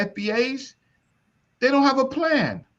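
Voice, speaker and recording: In a raised, projected voice with a bright, sharp tone, the speaker moves at a moderate pace with lively intonation. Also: man. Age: 60s. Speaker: elder discussing African history and reparations. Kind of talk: heated debate. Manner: animated.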